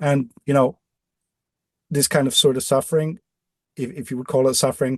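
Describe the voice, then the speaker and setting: The sound is dry and close, with no echo, as a man speaks with a Dutch accent. His medium-pitched voice is somewhat breathy. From Netherlands (Amsterdam). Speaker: off-grid living designer. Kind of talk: podcast interview. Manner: halting, many repetitions.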